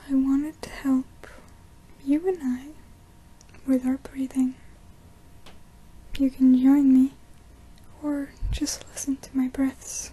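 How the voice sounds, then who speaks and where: A soft-spoken whisper at a very slow pace, with noticeable background noise. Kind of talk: ASMR breathing guidance. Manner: soft-spoken, whispered.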